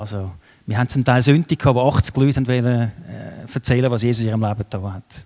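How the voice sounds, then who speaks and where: Very fast and at a medium pitch, a man talks with fairly even intonation in a dry, close sound with no echo. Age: 50s. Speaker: guest preacher. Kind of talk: sermon with audience questions.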